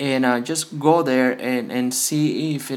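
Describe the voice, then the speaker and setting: A man speaks at a medium pitch with a Spanish accent. Audible room echo surrounds his voice. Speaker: phone repair youtuber. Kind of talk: tutorial. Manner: halting, many fillers.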